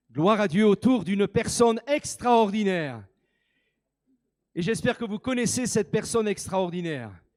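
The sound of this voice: A man with high pitch speaks at a fairly slow pace in a slightly mellow tone. His intonation is lively.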